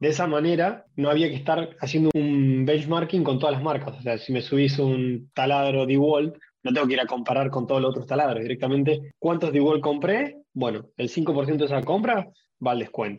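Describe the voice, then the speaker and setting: A man with an unremarkable speaking voice talks at a moderate pace with a fairly high pitch and ordinary pitch variation. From Argentina (Rosario). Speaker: procurement professional. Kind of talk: panel discussion.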